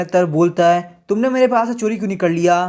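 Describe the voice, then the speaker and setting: A man with ordinary pitch variation. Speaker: comic recap narrator. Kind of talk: story recap narration. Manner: casual, conversational.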